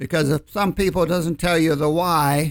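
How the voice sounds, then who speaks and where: On a very clean recording with a silent background and a dry, close sound with no echo, a man with a plain, everyday voice speaks fairly slowly at a fairly high pitch with ordinary pitch variation. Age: 60s. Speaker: financial advisor. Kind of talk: casual chat on radio show. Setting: studio.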